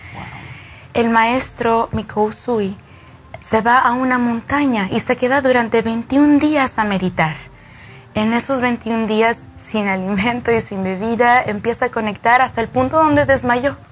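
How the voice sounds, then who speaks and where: A woman's fairly high voice at a fairly slow pace, with ordinary pitch variation and music in the background. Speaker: Reiki practitioner. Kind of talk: explanatory interview. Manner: eloquent.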